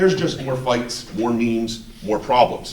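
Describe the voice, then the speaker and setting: A loud man with an American accent at a moderate pace, audible room echo and noticeable background noise. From Ohio, Cleveland area (Shaker Heights). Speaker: resident speaking at town hall, contractor. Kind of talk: public comment at town hall. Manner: animated.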